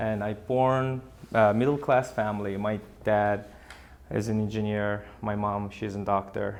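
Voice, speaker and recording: A man with an Azerbaijani accent speaks at a fairly slow pace in a fairly low, monotone voice with flat intonation. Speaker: real estate advisor. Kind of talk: interview. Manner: halting.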